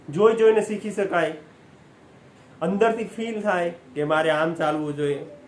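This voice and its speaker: This voice, with ordinary pitch variation, is heard with audible room echo. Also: man, high pitch for a man. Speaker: motivational speaker. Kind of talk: motivational talk.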